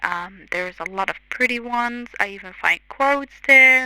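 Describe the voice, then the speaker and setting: A woman speaks in a high pitch with ordinary pitch variation. Noticeable background noise is present. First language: not English. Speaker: content creator. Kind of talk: tutorial voiceover. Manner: hesitant, many fillers.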